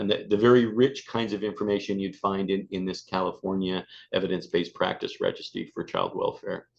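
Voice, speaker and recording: A man at a fairly quick pace, hardly any pauses, against a quiet background. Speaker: prevention specialist presenter. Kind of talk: webinar presentation. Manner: fast; hesitant with fillers and repetitions.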